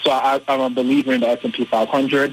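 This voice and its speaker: There is noticeable background noise here. A man talks at a medium pitch with fairly even intonation. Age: 30s. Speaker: financial literacy coach and reverend. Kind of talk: interview.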